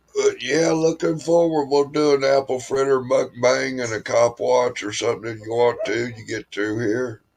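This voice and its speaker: A man talks at a moderate pace in a medium pitch with ordinary pitch variation. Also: hardly any pauses. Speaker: live streamer. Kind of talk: casual chat.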